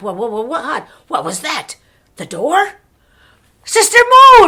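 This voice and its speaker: A woman uses a put-on character voice with high pitch and very wide pitch swings. Her loudness also swings widely. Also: fairly slow pace. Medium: read story. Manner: loud, bossy.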